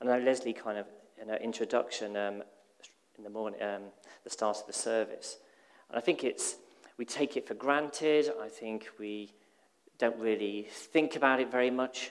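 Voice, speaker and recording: Against a quiet background, a man speaks at a moderate pace with ordinary pitch variation, big swings in loudness, and long, frequent pauses. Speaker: preacher. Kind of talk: sermon. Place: church.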